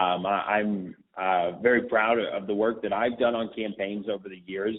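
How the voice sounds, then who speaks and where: At a moderate pace, a man talks in a plain, everyday voice with medium pitch. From Texas, north Dallas. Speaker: young conservative campaign organizer. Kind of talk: interview.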